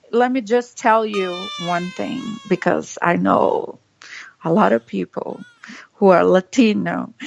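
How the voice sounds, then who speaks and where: Dry and close with no echo, a woman with a Brazilian Portuguese accent speaks at a fairly slow pace, pausing long and often. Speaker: political podcast co-host. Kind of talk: casual political commentary. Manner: animated.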